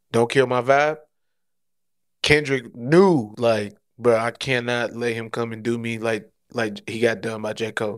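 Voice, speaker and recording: At a fairly slow pace, a man speaks at a medium pitch with fairly even intonation and long, frequent pauses. The recording is very clean, with a silent background. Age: 30s. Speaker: podcast co-host. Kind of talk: casual chat.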